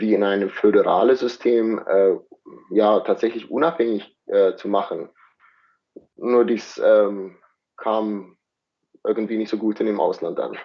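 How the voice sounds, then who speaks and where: This man has a South African accent. He speaks at a very slow pace. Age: 40s. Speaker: scientist in medical field. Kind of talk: interview. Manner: halting, many fillers.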